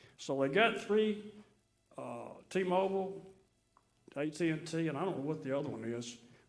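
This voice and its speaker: Pausing long and often, a man with a Mississippi accent speaks at a fairly high pitch with lively intonation as audible room echo rings around him. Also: moderate pace. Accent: Southern US, Mississippi. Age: 70s. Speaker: resident speaking at city meeting. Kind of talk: public comment. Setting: city board meeting.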